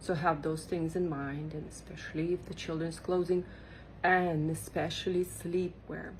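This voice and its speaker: A woman speaks in a fairly low, somewhat breathy voice. Her intonation stays monotone and flat. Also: moderate pace. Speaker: small clothing business owner. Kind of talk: casual tutorial monologue. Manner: chatty, with fillers and restarts.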